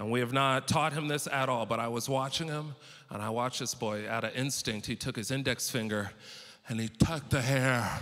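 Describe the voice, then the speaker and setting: Speaking with an American accent, a man moves at a fairly quick pace. His intonation is fairly even. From California, US West Coast. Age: 30s. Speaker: stand-up comedian. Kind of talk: stand-up. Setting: stage with audience. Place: stage. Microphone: handheld.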